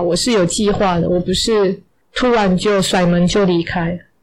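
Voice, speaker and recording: A woman speaks fairly slowly in an ordinary speaking voice. Her medium pitch carries fairly even intonation. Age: 40s. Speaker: English teacher. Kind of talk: interview storytelling.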